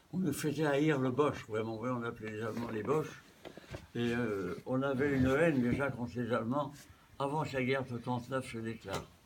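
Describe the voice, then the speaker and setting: A man speaks with fairly even intonation. Noticeable background noise and audible room echo are present. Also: medium pitch for a man, moderate pace. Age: 90s. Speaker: war veteran. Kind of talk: interview. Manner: halting.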